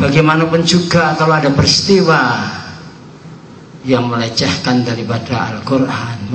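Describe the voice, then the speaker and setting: A man talks at a moderate pace with ordinary pitch variation. Audible room echo and noticeable background noise fill the recording. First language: Javanese (speaking Indonesian). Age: 70s. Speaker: Islamic boarding school cleric. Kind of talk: religious speech. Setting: prayer gathering.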